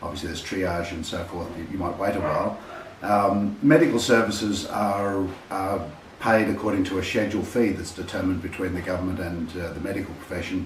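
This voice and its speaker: A man's fairly low voice with an Australian accent, fairly quick and fairly even in intonation, with noticeable background noise and audible room echo. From Australia (Sydney). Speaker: healthcare testimonial contributor. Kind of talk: testimony. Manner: halting.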